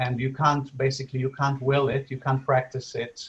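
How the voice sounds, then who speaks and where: A man speaks at a medium pitch, his voice somewhat breathy. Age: 60s. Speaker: spiritual teacher and interviewer. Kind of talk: casual chat. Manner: halting.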